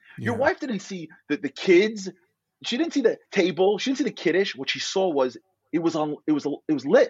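A man with a New York accent speaks in a high voice for a man, his pitch swinging very widely. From US Northeast, Brooklyn, New York. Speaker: motivational speaker. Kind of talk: casual chat. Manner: animated; fast.

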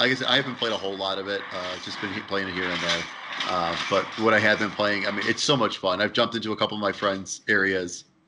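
Over noticeable background noise, a man with a fairly low pitch talks very fast, his intonation fairly even. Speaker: gaming podcast co-host. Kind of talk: casual chat. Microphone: bad audio.

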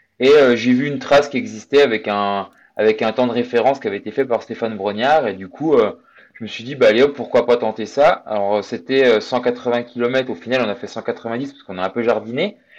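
Against a quiet background, a man with an unremarkable speaking voice talks at a moderate pace and medium pitch with ordinary pitch variation. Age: 30s. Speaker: amateur endurance athlete. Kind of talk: interview.

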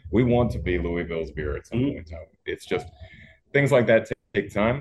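A man's somewhat breathy voice at a fairly quick pace, with lively intonation and a dry, close sound with no echo. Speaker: brewery co-founder. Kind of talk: casual interview. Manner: animated.

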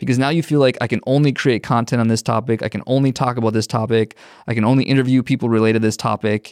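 A man with an American accent at medium pitch, very fast pace, fairly even intonation and very even loudness, in a dry, close sound with no echo over a quiet background. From Minnesota. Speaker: community builder and content creator. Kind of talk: casual chat.

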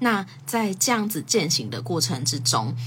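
Fairly slow speech from a woman, with audible room echo. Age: 20s. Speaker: podcast host. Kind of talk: casual solo talk on a livestream. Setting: social media livestream.

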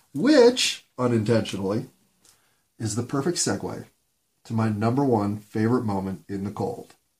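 A man with an American accent and a somewhat breathy voice speaks at a medium pitch with ordinary pitch variation, pausing often and at length. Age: 50s. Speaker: solo podcaster. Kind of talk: solo monologue. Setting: home bedroom recording. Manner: slow.

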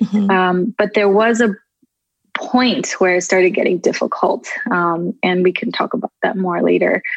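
With a Californian accent, a woman speaks at a moderate pace and medium pitch, her intonation fairly even. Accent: Californian American English. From Southern California. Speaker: photographer and social media creator. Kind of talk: interview conversation.

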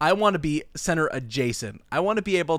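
A man with a normal speaking voice, fairly high in pitch, talks at a fairly quick pace with lively intonation, in a very clean, dry, close recording with no echo and a silent background. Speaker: podcast co-host. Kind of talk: casual comedic chat. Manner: joking, playful.

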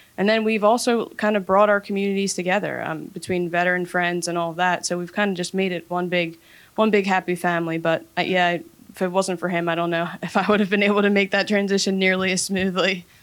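A speaker with an American accent talks at a fairly quick pace in a monotone, flat intonation. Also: woman, medium pitch for a woman. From Philadelphia area. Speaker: army veteran, IT worker. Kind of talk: panel discussion.

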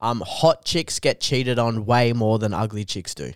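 A man with an Australian accent speaks at a medium pitch on a very clean recording with a silent background. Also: dry, close sound with no echo. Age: 20s. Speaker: comedian. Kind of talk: casual chat.

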